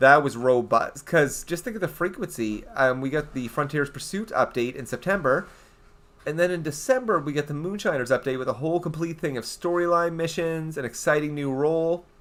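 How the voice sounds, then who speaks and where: With a Canadian accent, a man talks fairly quickly in a fairly high, animated voice with ordinary pitch variation. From eastern Canada. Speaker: gaming streamer. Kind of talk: casual live stream chat.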